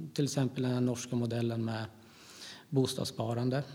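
This man's voice has a dark, mellow tone and a somewhat breathy sound. It sits at a medium pitch. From Gävle, Sweden. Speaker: politician. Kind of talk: interview.

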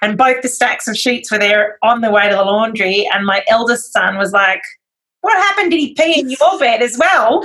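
A woman's high, bright, sharp voice in an Australian accent, with very wide pitch swings at a moderate pace. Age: 40s. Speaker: magazine publisher and editor. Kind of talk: interview conversation.

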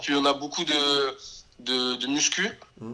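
Intonation stays fairly even throughout. Delivered in an ordinary speaking voice, the words come fairly slowly. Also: man. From southern France, Béziers. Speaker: professional footballer. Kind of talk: interview.

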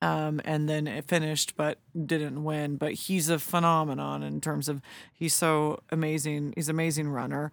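This woman has a very deep, low pitch and an American accent, speaking at a moderate pace. Her intonation is monotone and flat, on a very clean recording with a silent background. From California (Lodi). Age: 40s. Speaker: ultra runner. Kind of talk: casual chat.

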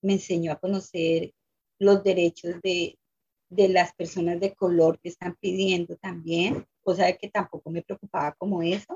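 Speaking at a fairly slow pace, a woman uses a fairly low, somewhat breathy voice with flat, monotone intonation. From Colombia. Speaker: immigrant activist, former domestic worker. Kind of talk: interview testimony.

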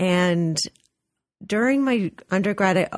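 A woman with a normal speaking voice talks in an American accent at a fairly low pitch. Her pace is fairly slow, and the sound is dry and close with no echo. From US West Coast, Los Angeles. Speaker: art museum director. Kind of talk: radio interview.

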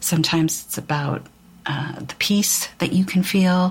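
Over noticeable background noise, a woman with a fairly low voice talks at a moderate pace. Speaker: spiritual podcast host. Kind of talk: spiritual talk. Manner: halting.

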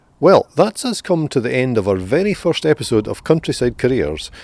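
A man with a Scottish accent talks at a moderate pace in a fairly high pitch, with vocal fry. His pitch swings very widely. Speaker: podcast host. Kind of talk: interview. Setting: outdoors.

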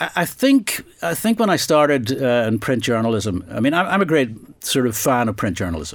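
With a Northern Irish accent, a man talks at a moderate pace and medium pitch. His pitch swings very widely, and he leaves hardly any pauses. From Northern Ireland. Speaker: investigative journalist and author. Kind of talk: interview. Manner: halting.

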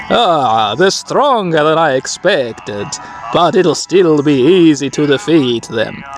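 Using a put-on character voice, a man speaks at a fairly high pitch. His pace is fairly slow, with clear background noise behind him. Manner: arrogant, confident.

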